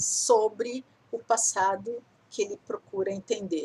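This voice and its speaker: A woman with a fairly high voice and vocal fry talks very slowly, her pitch swinging very widely. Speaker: teacher. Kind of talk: lecture.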